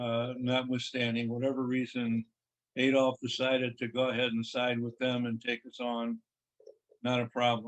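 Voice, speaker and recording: A man with an American accent talks at a medium pitch in a monotone, flat intonation. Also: moderate pace. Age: 80s+. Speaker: retired army colonel and former state senator. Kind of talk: podcast interview. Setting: call. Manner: plain-spoken.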